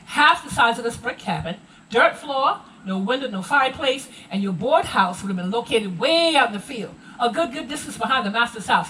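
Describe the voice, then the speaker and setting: Speaking with an American accent against noticeable background noise, a woman talks at a fairly quick pace in a high pitch, with lively intonation and big swings in loudness. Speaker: Gullah culture presenter. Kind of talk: live heritage presentation to tour group.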